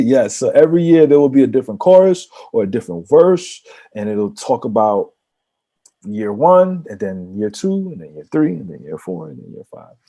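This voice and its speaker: With a New York accent, a man talks at a moderate pace in a medium pitch, his dark, mellow tone moving through very wide pitch swings and big swings in loudness. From New York, the Bronx. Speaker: rapper. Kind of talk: casual chat.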